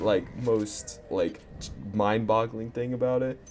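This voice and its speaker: A man with a medium-pitched voice speaks at a very slow pace while music plays in the background. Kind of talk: casual storytelling to camera. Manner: stuttering, sputtering; rambling, profane.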